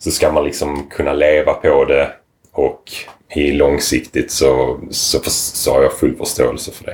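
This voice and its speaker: Big swings in loudness mark this man's fairly slow speech. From southern Sweden, Lomma (Skåne). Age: 30s. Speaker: surfboard shaper. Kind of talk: casual chat.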